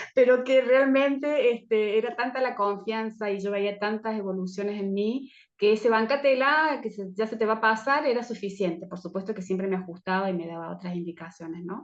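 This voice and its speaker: A woman talks with hardly any pauses. Her pitch is fairly high. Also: ordinary pitch variation. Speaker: teacher of Chinese herbal medicine. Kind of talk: online course presentation talk. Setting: video call. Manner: fast.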